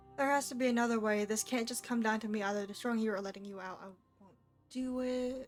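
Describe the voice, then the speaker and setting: Music plays behind a woman talking very fast with an American accent at a fairly high pitch. Her intonation stays fairly even while her loudness swings a lot. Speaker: streamer. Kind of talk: live game commentary.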